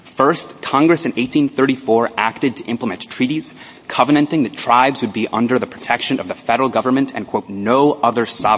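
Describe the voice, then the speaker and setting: Through noticeable background noise, a man at a medium pitch talks at a fairly quick pace with hardly any pauses and ordinary pitch variation. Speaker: lawyer arguing before supreme court. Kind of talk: oral argument. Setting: courtroom. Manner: formal.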